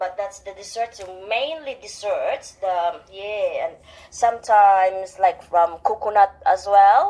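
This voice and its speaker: Speaking very slowly in a Visayan Filipino accent, a woman with a dark, mellow tone and medium pitch makes big swings in loudness. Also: ordinary pitch variation. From Philippines, Visayas. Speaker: radio interview guest. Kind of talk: radio interview. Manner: halting.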